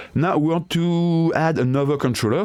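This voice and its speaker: With a French accent, a man speaks at a moderate pace. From France. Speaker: DIY tinkerer and tool developer. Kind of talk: software tutorial. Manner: halting, hesitant non-native English.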